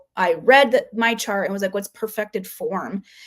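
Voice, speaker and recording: A mumbling woman. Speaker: human design chart reader, livestreamer. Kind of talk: casual livestream chat. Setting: live stream. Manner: halting, filler-heavy.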